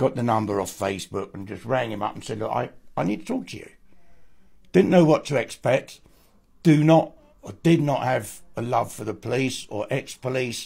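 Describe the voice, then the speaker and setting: Somewhat breathy male speech at a moderate pace, medium in pitch, with lively intonation. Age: 70s. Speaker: abuse survivor and author. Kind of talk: testimony.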